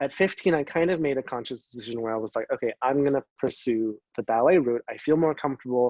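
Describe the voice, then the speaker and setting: In a Canadian accent, an unremarkable speaking voice uses ordinary pitch variation, heard dry and close with no echo over a quiet background. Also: man. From Canada, Greater Vancouver area. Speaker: dancer. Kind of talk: interview. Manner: casual, many fillers (um, like).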